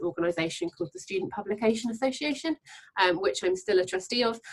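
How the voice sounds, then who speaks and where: Talking at a very fast pace, a woman speaks with a southern English accent and ordinary pitch variation. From England, Devon. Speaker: freelance journalist. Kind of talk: panel discussion.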